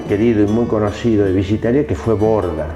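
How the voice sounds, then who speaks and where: Music plays behind a man's voice, and audible room echo surrounds it. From Argentina, Tandil (Buenos Aires province). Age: 60s. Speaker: interviewee sharing life story. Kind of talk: interview. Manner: hesitant, many fillers.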